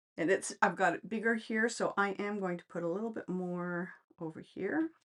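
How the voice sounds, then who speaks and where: An unremarkable speaking voice with a Canadian accent moves at a moderate pace with ordinary pitch variation, in a very clean recording with a silent background. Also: woman, medium pitch for a woman. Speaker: craft demonstrator. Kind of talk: tutorial. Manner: casual, chatty.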